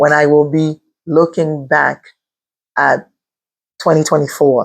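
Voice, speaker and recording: A woman's very deep, low voice at a very slow pace. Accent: Haitian. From Haiti. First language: Haitian Creole. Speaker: respiratory therapist turned online entrepreneur. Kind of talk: motivational vlog.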